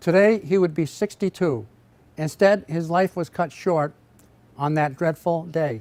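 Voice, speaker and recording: The recording is very clean, with a silent background. A man speaks fairly slowly at a high pitch with ordinary pitch variation. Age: 80s+. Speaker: inventor. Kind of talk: scripted narration. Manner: formal.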